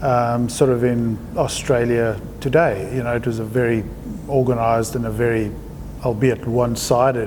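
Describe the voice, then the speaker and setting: A man with a South African accent speaks at a moderate pace, his pitch medium and his intonation flat and monotone. The room echo is audible and background noise is noticeable. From South Africa, Johannesburg. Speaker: artist. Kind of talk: interview.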